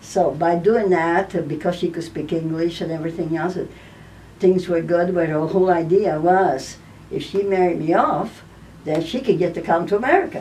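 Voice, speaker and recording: With an Italian accent and a fairly low pitch, a woman speaks at a moderate pace in fairly even intonation, with audible room echo. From Italy, Naples. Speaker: elderly woman sharing her life story. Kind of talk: personal testimony.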